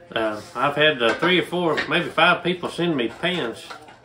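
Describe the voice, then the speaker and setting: Loud background noise fills the recording. A man speaks with ordinary pitch variation. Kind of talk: cooking tutorial. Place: kitchen. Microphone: camera far.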